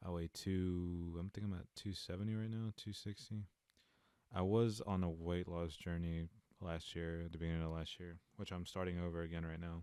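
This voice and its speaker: A man's very deep, low voice with a dark, mellow tone, monotone and flat, with an American accent, at a moderate pace, on a very clean recording with a silent background. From eastern North Carolina. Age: 20s. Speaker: podcast host. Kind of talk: casual solo podcast monologue. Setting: home recording alone. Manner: halting, stumbling over words.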